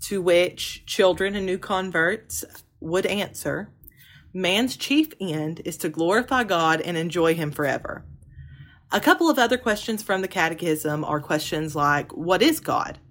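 On a very clean recording with a silent background, a woman of medium pitch speaks fairly slowly with lively intonation. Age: 20s. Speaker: podcast host. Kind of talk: solo podcast teaching monologue. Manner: hesitant, many ums.

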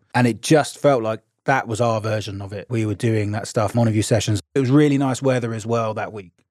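Speaking at a fairly quick pace, a man with an English accent uses medium pitch and fairly even intonation. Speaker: podcast co-host. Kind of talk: casual chat; scripted narration.

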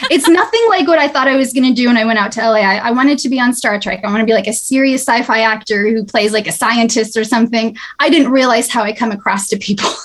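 A woman with a fairly high voice speaks very fast, her pitch varying in an ordinary way, over noticeable background noise. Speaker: actress. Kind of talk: casual interview.

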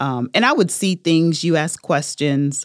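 In a very clean, dry, close recording with a silent background and no echo, a woman speaks with ordinary pitch variation. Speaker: small business owner, crafter. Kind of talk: personal testimony in an interview. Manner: hesitant, many fillers.

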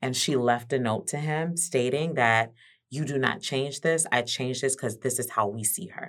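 A woman with an American accent talks at a moderate pace in a very deep, low voice with ordinary pitch variation, on a very clean recording with a silent background. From Miami, Florida. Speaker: retail worker and guest. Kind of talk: casual chat.

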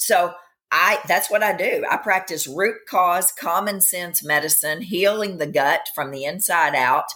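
At a fairly slow pace, a woman speaks in an unremarkable speaking voice, medium in pitch with ordinary pitch variation. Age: 50s. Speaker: functional medicine practitioner. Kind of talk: interview.

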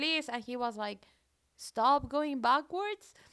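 A woman's high, raised and projected voice carries a bright, sharp tone and lively intonation. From Colombia. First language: Spanish. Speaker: radio DJ. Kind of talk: radio music show chat. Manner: casual, hesitant with fillers.

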